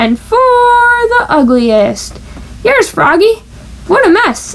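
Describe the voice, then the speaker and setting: Over light background noise, a woman puts on a character voice at an extremely high pitch, talking at a very slow pace with very wide pitch swings. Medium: read story. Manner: warm, patient.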